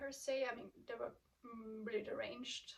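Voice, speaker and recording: A fairly high-pitched woman's voice with a non-native accent. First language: not English. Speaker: booktuber. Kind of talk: casual vlog chat. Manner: hesitant, many filler ums.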